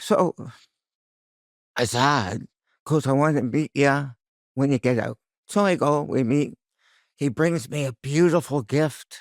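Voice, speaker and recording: A man with a fairly high pitch and ordinary pitch variation talks at a fairly slow pace in a very clean recording with a silent background. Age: 60s. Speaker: cancer survivor. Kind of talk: interview. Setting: studio. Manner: casual, halting.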